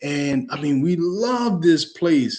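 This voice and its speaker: A man talks in a New York accent. His tone is animated and his intonation lively. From New York, Long Island (raised, via Brooklyn). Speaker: real estate educator. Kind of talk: webinar presentation.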